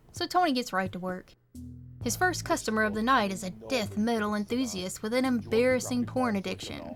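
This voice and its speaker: A woman talks at a moderate pace while music plays in the background. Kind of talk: video essay narration. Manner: casual, wry.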